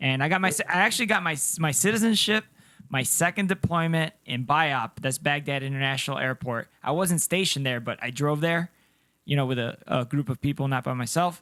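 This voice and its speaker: A man talks at a fairly quick pace in a fairly high voice, with lively intonation and an animated tone. The sound is dry and close, with no echo. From Colombia, moved to US as child. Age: 30s. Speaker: podcast co-host, army veteran. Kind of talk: casual chat. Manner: sounds young.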